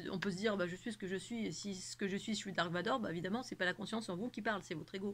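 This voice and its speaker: Ordinary pitch variation shapes a woman's medium-pitched voice as she talks at a fairly quick pace. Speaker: spiritual channel host. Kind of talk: spiritual monologue to camera. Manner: fast; animated.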